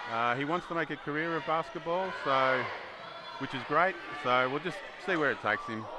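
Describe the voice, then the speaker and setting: Over noticeable background noise, a fairly high-pitched man with an Australian accent talks at a fairly quick pace, with ordinary pitch variation and long, frequent pauses. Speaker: player's parent. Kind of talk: casual interview.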